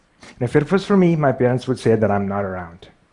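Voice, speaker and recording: A man speaks with a Pakistani accent at a medium pitch. His intonation is lively. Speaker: artist and graphic designer. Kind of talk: public talk. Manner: stutters.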